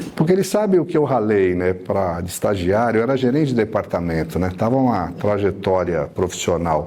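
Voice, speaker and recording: With lively intonation and hardly any pauses, the speech moves at a moderate pace over noticeable background noise. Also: man, fairly low pitch for a man. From São Paulo city, Brazil. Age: 60s. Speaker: city councillor. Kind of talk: panel talk at a debate event.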